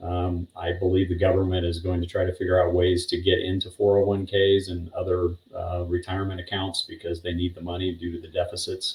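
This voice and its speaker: A very deep, somewhat breathy male voice at a fairly quick pace, with monotone, flat intonation. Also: hardly any pauses. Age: 60s. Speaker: retiree-age interview guest. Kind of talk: interview.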